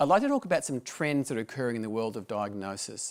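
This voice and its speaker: A man speaks in an Australian accent. The recording is very clean, with a silent background. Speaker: medical director, doctor. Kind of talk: presentation talk. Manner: formal.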